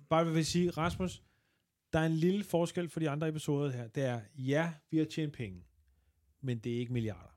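On a very clean recording with a silent background, a man speaks at a moderate pace. He has a plain, everyday voice with a fairly high pitch and ordinary pitch variation. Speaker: comedian. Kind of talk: casual chat.

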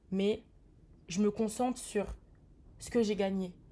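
A somewhat breathy woman's voice at a medium pitch, dark and mellow in tone, at a very slow pace with fairly even intonation. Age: 20s. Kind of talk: testimony.

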